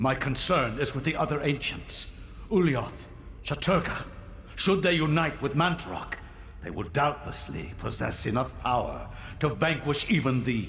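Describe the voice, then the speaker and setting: Putting on a character voice, a man talks at a moderate pace with a fairly high pitch, amid clear echo and clear background noise. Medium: video game. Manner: menacing, formal.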